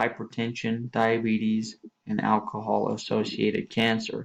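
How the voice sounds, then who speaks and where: A man is speaking here. He talks at a fairly slow pace. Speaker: student presenter. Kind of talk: class presentation. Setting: screen-recorded slide presentation. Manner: monotone; hesitant with fillers.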